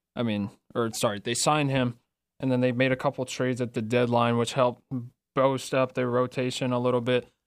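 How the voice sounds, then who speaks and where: A man talks fairly quickly at a medium pitch in an ordinary speaking voice, on a very clean recording with a silent background. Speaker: radio co-host. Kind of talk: radio DJ patter, casual sports chat. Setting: radio studio, live stream. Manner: easygoing, upbeat, conversational.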